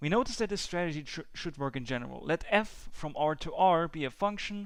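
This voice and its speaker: Pitched fairly high, this man talks with a non-native accent. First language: not English. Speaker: math tutor. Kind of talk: tutorial. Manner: halting, with many fillers.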